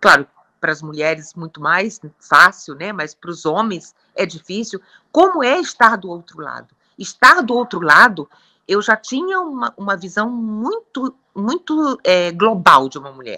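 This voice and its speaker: The woman's medium-pitched voice has a bright, sharp tone, very wide pitch swings and big swings in loudness, moving at a fairly slow pace in a dry, close sound with no echo. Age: 60s. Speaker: gynecologist. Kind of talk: interview.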